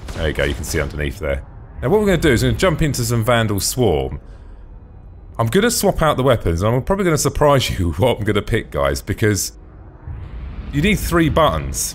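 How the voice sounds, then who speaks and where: At a very fast pace but with long, frequent pauses, a man speaks in a British accent. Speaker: gaming video host. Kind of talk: casual gameplay commentary. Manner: enthusiastic.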